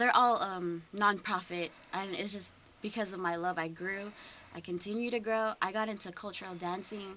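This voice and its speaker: Light background noise sits behind a woman with an American accent. Her tone is bright and sharp, and her intonation fairly even. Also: medium pitch for a woman, moderate pace. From US, San Francisco Bay Area. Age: 20s. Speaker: college student and cultural night artistic director. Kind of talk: radio interview. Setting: radio studio. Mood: earnest, slightly nervous. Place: studio. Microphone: studio mic.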